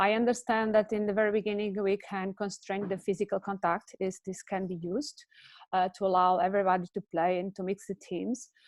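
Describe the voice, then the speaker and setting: A woman speaks with a Portuguese accent at a fairly quick pace. Her medium-pitched voice stays monotone, with flat intonation. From Portugal. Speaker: handball development expert. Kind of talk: webinar discussion. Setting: video call. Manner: halting, many fillers.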